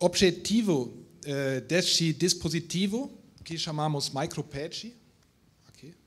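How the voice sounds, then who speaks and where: At a very slow pace with long, frequent pauses, a man speaks at a fairly high pitch. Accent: non-native. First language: not Portuguese (speaking Portuguese). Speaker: industrial research manager. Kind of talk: reading aloud a prepared text. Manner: halting, many hesitations.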